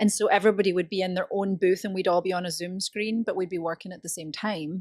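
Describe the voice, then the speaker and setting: The speech comes at a very fast pace with monotone, flat intonation and big swings in loudness. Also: woman, medium pitch for a woman. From Scotland. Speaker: voice actor. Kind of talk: interview answer.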